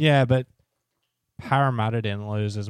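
A man with a fairly low voice speaks at a moderate pace with fairly even intonation, the sound dry and close with no echo. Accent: Australian. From Australia, New South Wales (Wollongong area). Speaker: podcast co-host. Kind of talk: casual chat.

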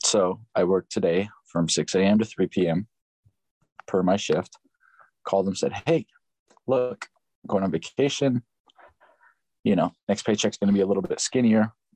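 Recorded dry and close with no echo, a man with an American accent speaks at a moderate pace in a fairly low, dark, mellow voice, with ordinary pitch variation, very even loudness and long, frequent pauses. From Upland, California. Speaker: full-time worker. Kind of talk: casual chat.

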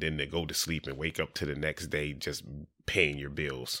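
This man has a very deep, low pitch and vocal fry. His tone is bright and sharp, with an American accent. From Delaware (Dover), US. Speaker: real estate wholesaler, former prisoner. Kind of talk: casual interview. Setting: studio with cameras.

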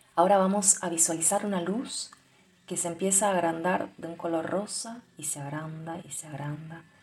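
Noticeable background noise sits under a woman speaking at a fairly low pitch. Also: ordinary pitch variation. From Argentina. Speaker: belly dance teacher and podcaster. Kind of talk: casual monologue; guided meditation. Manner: slow.

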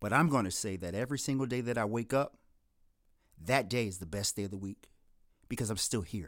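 Long, frequent pauses break up this man's speech. His pitch is medium, with ordinary pitch variation, on a very clean recording with a silent background. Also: fairly quick pace. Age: 40s. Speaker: podcast host. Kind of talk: solo monologue introduction.

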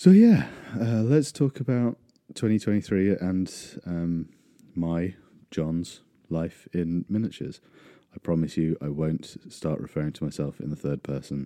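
Very deep and low, a man's voice carries a dark, mellow tone and lively intonation. He leaves long, frequent pauses. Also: fairly slow pace. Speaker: podcast host. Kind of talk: solo casual monologue. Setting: hand-held mic, rural remote location. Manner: rambling with many fillers.

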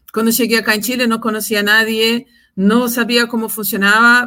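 This woman has a fairly high pitch and a bright, sharp tone, talking at a moderate pace with monotone, flat intonation. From Brazil. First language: Portuguese (speaking Spanish). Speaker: compliance executive. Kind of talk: interview.

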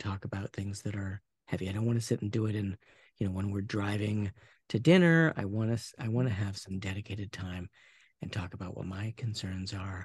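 Somewhat breathy and fairly low-pitched, a man with an American accent talks at a fairly quick pace with ordinary pitch variation, in a dry, close sound with no echo against a quiet background. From US Pacific Northwest, Portland area. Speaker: relationship coach. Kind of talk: interview, casual conversation.

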